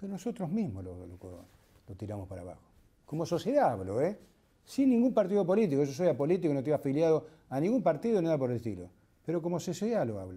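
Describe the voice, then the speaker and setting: Very fast speech in a dark, mellow tone, with very wide pitch swings, big swings in loudness, and long, frequent pauses. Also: man. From Argentina, Tandil (Buenos Aires province); Buenos Aires province, Argentina. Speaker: war veteran and surgeon. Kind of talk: testimony interview. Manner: halting, frequent fillers and repetitions. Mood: indignant, earnest. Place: studio.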